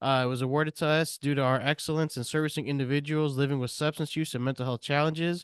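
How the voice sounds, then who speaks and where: A man speaks at a very fast pace and fairly high pitch, his intonation fairly even. The sound is dry and close with no echo, over a quiet background. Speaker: peer support coordinator. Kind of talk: presentation at a meeting. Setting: meeting room with audience and Zoom.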